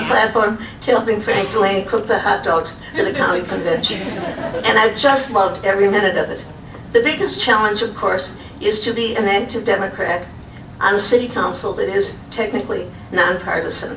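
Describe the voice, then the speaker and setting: A woman with an American accent speaks at a fairly high pitch, with noticeable background noise and audible room echo. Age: 80s+. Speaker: former city council member and social worker. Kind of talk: award acceptance speech.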